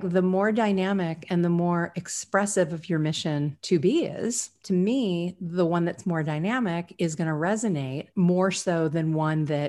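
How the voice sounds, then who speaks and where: Against a quiet background, a woman with a normal speaking voice talks fairly slowly at a fairly low pitch, her pitch varying in an ordinary way. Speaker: podcast host, creative agency owner. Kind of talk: brand strategy work session.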